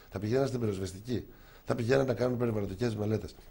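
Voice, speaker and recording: Audible room echo surrounds a man whose somewhat breathy, dark and mellow medium-pitched voice moves with lively intonation at a very fast pace. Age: 60s. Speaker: politician. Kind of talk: TV interview.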